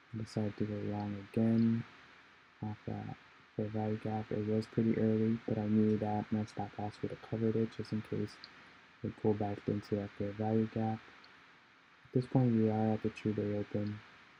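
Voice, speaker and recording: Music plays in the background as a man with a fairly low voice speaks at a moderate pace in a flat monotone. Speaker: day trader. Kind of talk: trading recap voiceover.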